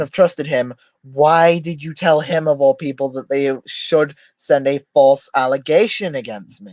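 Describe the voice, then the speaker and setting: With big swings in loudness, a man talks at a fairly high pitch in a dry, close sound with no echo. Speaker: streamer. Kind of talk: livestream commentary. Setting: live stream. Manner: fast.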